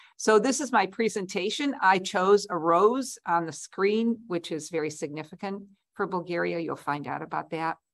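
A woman at a moderate pace with lively intonation and hardly any pauses, against a quiet background. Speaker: presenter. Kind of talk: lecture. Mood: warm, friendly. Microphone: webcam.

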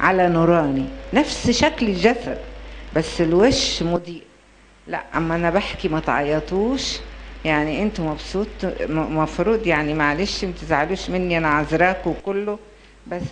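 A woman talks fairly slowly with a fairly low pitch. There is light background noise. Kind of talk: storytelling to an audience. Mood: gentle, consoling. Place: hall. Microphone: handheld.

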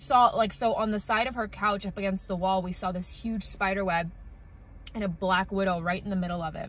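Her pitch varying in an ordinary way, a woman speaks at a fairly quick pace. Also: dry sound with no echo. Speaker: vlogger. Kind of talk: casual vlog chat. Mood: bored, chatty storytelling. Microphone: phone near.

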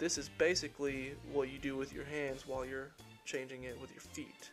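Music plays in the background as a man speaks with fairly even intonation. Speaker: student narrator. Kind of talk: tutorial.

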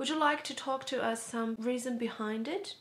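A woman's fairly high-pitched voice with a non-native accent. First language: not English. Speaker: educational vlogger. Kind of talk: educational talk to camera. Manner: casual.

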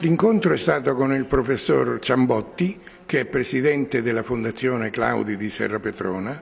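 A man talks at a medium pitch while noticeable background noise runs behind him. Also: lively intonation, moderate pace. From Marche, Italy (San Severino Marche). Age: 80s+. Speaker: artist. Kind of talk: interview. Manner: halting.

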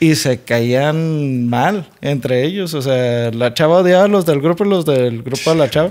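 A man's fairly high voice with a Mexican accent, fairly slow yet with hardly any pauses, ordinary pitch variation, and a quiet background. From Mexico. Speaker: podcast co-host. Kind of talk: casual chat. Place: home room. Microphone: studio mic.

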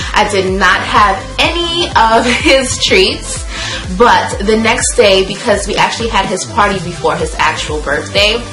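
A woman talks at a medium tempo while music plays clearly in the background. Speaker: vlogger. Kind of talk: casual vlog chat. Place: home room.

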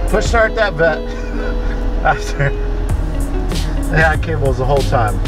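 A man's voice in a dry sound with no echo, with clear music in the background. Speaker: car vlogger. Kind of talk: casual vlog chat. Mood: amused, joking. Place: car. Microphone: phone near.

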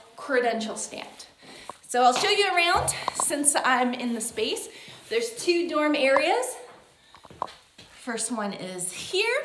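Very slow speech over noticeable background noise. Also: woman. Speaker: pilgrim hiker vlogger. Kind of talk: casual vlog chat. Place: home room. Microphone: phone near.

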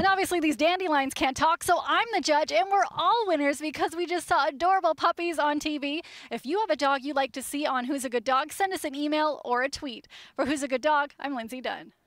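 With a high pitch and ordinary pitch variation, a woman talks at a fairly quick pace, the sound dry with no echo against a quiet background. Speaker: TV reporter. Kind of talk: upbeat news feature commentary. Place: open country. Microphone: headset.

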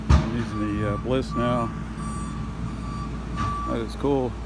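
Moderate pace, dry sound with no echo, and loud background noise. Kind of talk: casual vlog commentary. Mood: excited. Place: garden. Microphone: phone near.

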